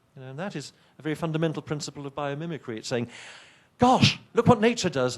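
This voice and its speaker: A man with an English accent and a fairly high pitch. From England. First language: not English. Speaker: professor. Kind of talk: keynote lecture. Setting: conference stage with audience. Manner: animated, conversational with hesitations.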